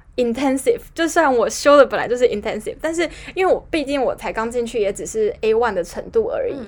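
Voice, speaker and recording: A woman with a high pitch talks at a very fast pace, her voice making very wide pitch swings. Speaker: podcast co-host. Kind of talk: casual chat.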